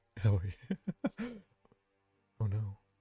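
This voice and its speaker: A soft-spoken man talks in a fairly low voice with ordinary pitch variation. Music plays in the background, and the sound is dry and close with no echo. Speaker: streamer. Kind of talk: casual chat. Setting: live stream.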